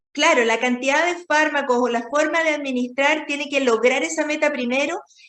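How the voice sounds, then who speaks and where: High in pitch and bright, sharp in tone, a woman's voice moves at a moderate pace. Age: 60s. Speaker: radio host. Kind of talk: interview.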